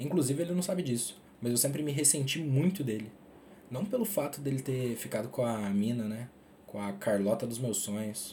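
With lively intonation, a man in a normal speaking voice talks at a moderate pace and a medium pitch. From Minas Gerais, Brazil. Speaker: podcaster. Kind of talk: personal monologue.

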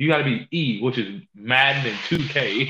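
This man's voice sits fairly high. Its rise and fall is ordinary. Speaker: podcast co-host. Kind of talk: casual banter.

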